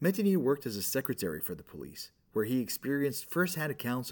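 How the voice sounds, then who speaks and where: Very wide pitch swings run through a man's fairly quick speech. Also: very clean recording, silent background. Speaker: podcast narrator. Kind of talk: scripted horror narration, spooky storytelling. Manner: measured, suspenseful pacing with menacing emphasis.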